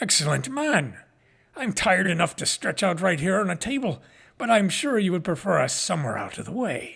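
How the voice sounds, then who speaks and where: A man puts on a raspy character voice pitched high for a man. He talks at a fairly quick clip, and his pitch swings very widely. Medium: read story. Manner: warm, folksy.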